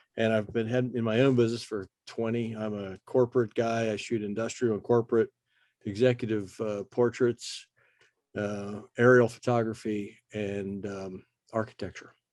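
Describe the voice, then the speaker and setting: A man's fairly low, monotone voice with flat intonation, in a dry, close sound with no echo. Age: 60s. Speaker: photographer. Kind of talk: casual chat. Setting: video call.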